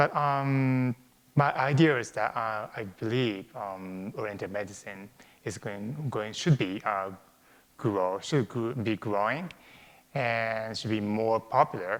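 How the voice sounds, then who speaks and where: At a very slow pace, a man with a Japanese accent speaks at a medium pitch with ordinary pitch variation. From Japan, Tokyo suburbs. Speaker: acupuncturist. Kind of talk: interview. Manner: halting, many fillers.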